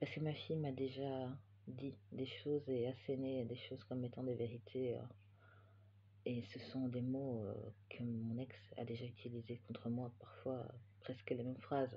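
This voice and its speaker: Somewhat breathy and flat in intonation, the voice pauses often and at length. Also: man, medium pitch for a man, moderate pace. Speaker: knitting podcaster and yarn dyer. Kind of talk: casual chat. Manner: hesitant, many filler sounds.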